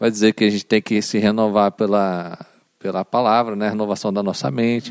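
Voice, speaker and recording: Very fast speech with a dry, close sound and no echo. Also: man. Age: 30s. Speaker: guest, former rehab clinic worker. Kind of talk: casual chat.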